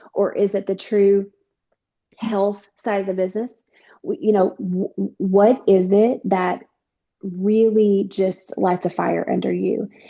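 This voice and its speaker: A woman with a Southern US accent, medium in pitch, dark and mellow in tone, fairly even in intonation, at a very slow pace. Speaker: network marketing distributor. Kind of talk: casual chat.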